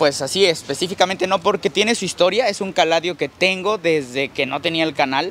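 A man's high voice at a moderate pace, with a dry sound with no echo and light background noise. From Mexico. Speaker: plant nursery owner and YouTuber. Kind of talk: casual guided tour chat. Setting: outdoors in a plant nursery. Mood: warm, fond of cacti. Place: garden. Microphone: lapel.

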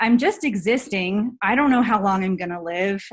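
A woman speaks in a somewhat breathy voice with ordinary pitch variation. The background is quiet. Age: 30s. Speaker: health and fitness coach. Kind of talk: personal testimony on a team call. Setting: video call. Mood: earnest, reflective storytelling. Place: home room. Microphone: webcam.

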